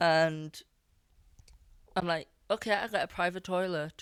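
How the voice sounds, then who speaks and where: In a very clean recording with a silent background, a woman with a Scottish accent talks at a fairly slow pace in a monotone, flat intonation. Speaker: podcast host and musician. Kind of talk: casual chat.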